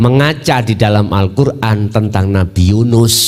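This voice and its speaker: Recorded with audible room echo and noticeable background noise, a man speaks at a medium pitch and a fairly slow pace. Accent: Javanese. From Mojokerto, East Java, Indonesia. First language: Javanese (speaking Indonesian). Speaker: Islamic Sufi teacher. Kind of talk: religious lecture. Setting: Islamic boarding school gathering.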